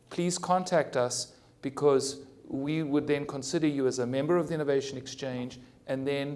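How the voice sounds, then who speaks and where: Fairly quick speech from a man, fairly high-pitched with fairly even intonation, amid audible room echo. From South Africa. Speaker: cardiologist and hospital innovation executive. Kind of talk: conference panel discussion. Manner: halting, frequent stammered restarts.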